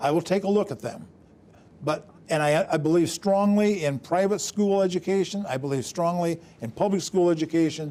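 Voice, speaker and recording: This man has a dark, mellow tone and a high pitch with ordinary pitch variation. He speaks at a moderate pace. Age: 70s. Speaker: state lawmaker. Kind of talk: TV interview.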